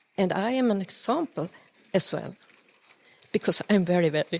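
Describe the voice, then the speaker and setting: There is noticeable background noise. A woman talks at a moderate pace and medium pitch with ordinary pitch variation. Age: 70s. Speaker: artist and teacher. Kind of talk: casual chat. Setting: festival workshop. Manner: halting.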